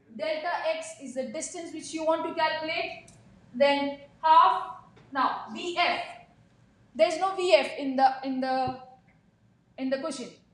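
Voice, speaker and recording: Amid audible room echo, a woman with an extremely high pitch speaks at a fairly slow pace with long, frequent pauses, fairly even intonation and big swings in loudness. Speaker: physics teacher. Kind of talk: classroom lecture. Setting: classroom with students.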